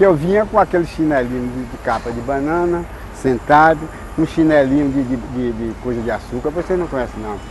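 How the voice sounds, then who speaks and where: Noticeable background noise accompanies a man talking at a moderate tempo. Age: 80s+. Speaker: construction worker. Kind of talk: interview testimony. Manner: halting.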